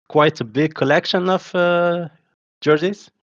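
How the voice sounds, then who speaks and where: A man in a Moroccan accent at a fairly slow pace, dry and close with no echo against a quiet background. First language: Moroccan Arabic. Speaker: podcast host. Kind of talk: podcast interview. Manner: halting.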